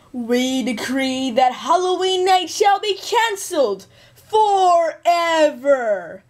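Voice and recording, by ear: In a put-on character voice with an extremely high pitch, a female-sounding voice speaks at a very slow pace.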